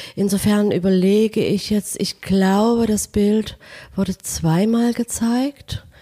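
In a dry, close recording with no echo, a woman speaks very slowly with a somewhat breathy, dark, mellow tone and very even loudness. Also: medium pitch for a woman, fairly even intonation. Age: 60s. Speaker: painter and art professor. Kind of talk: interview. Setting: at home.

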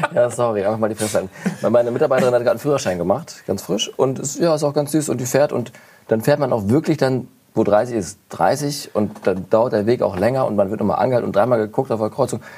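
A man speaks very fast at a medium pitch, with a dark, mellow tone and ordinary pitch variation. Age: 30s. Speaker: advertising photographer. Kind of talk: casual chat.

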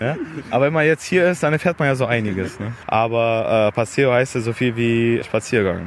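This man has an unremarkable speaking voice, pitched in the medium range with ordinary variation and delivered at a moderate pace. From Allgäu, Bavaria, Germany. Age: 20s. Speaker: car owner at a club meetup. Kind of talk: casual interview.

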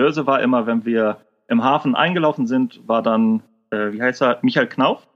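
This man speaks at a fairly slow pace. His pitch sits in the medium range, with ordinary pitch variation. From northern Germany, Kiel. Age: 30s. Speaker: service technician and part-time trader. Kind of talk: interview. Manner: casual, colloquial.

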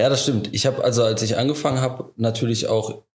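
A man with a somewhat breathy voice talks in a medium pitch and uses ordinary pitch variation. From Leverkusen area, western Germany. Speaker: insurance broker. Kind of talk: casual interview.

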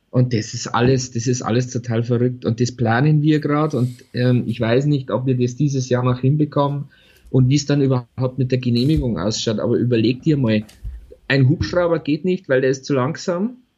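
A man's voice has a dark, mellow tone and sounds somewhat breathy. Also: medium pitch for a man, ordinary pitch variation, moderate pace. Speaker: podcast co-host. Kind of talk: casual chat. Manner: animated, laughing often.

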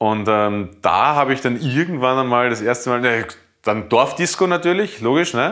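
Delivered at a moderate pace with lively intonation and very even loudness, the speech contains long, frequent pauses. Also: man. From Lower Austria, near Hungarian border. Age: 30s. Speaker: chef. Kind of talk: casual chat. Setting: home kitchen. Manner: halting.

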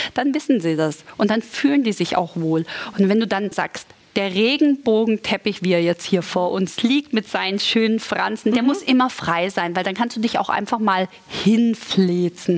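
An animated tone and lively intonation come through over noticeable background noise. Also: woman, medium pitch for a woman, moderate pace. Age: 40s. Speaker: model and TV presenter, mother of two. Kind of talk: sponsored casual chat about tidying kids' rooms. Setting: studio set styled as a children's room.

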